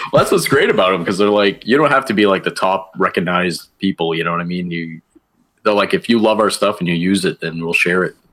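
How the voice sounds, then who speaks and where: Talking at a very fast pace, a man has a very deep, low pitch. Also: ordinary pitch variation. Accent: American. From northern Maine, US. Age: 40s. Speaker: toy photographer. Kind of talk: casual chat.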